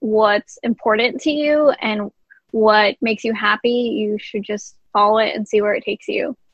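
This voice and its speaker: Speaking in an American accent, a woman uses an ordinary speaking voice, fairly high in pitch, at a fairly slow pace. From New Jersey, Jersey City. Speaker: veterinarian and musician. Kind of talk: podcast interview.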